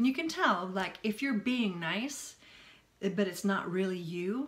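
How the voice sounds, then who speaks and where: This woman speaks at a moderate pace. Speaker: self-help vlogger. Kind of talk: casual vlog chat. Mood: earnest, reflective. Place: home room. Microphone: phone near.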